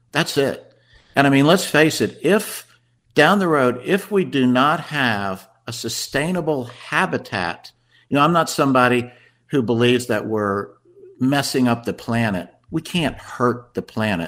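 With an American accent, a man at medium pitch moves at a moderate pace through very wide pitch swings, captured in a very clean recording with a silent background. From Washington D.C. area, US. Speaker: food company marketing director. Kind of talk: radio interview. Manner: halting, many repeated words and fillers.

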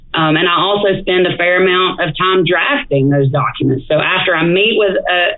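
With an Alabama accent, a woman talks at a moderate pace in a fairly low voice, and the room echo is audible. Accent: Southern US (Alabama). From northeast Alabama, DeKalb County. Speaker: estate planning attorney. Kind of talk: casual interview. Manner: frequent fillers (um, uh).

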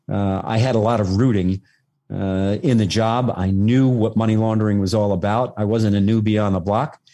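A man's fairly low-pitched voice with a dark, mellow tone and very even loudness. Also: fairly even intonation, moderate pace, quiet background. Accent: New York. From New York City, Staten Island. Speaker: retired federal agent. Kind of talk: interview. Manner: halting.

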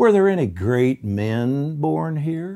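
A man's put-on character voice, fairly high and fairly slow, with very wide pitch swings. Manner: condescending.

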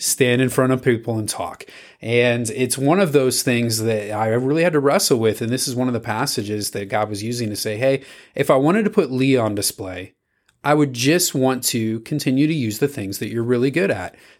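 On a very clean recording with a silent background, a man with a plain, everyday voice talks at a fairly quick pace, keeping a medium pitch and ordinary pitch variation. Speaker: youth ministry podcast host. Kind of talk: scripture reading and devotional discussion.

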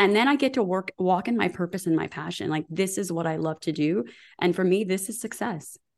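Speaking at a fairly quick pace, a woman uses a medium pitch with vocal fry. Her tone is animated, with lively intonation. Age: 40s. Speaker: women's health expert. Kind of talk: interview.

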